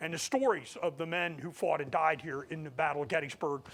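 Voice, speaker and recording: The voice is loud and bright with a sharp tone, carrying an American accent. It moves at a fairly quick pace with lively intonation. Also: man, very clean recording, silent background. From US Midwest, central Ohio (Groveport near Columbus). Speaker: historian and battlefield guide. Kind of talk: lecture. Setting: lecture hall with audience.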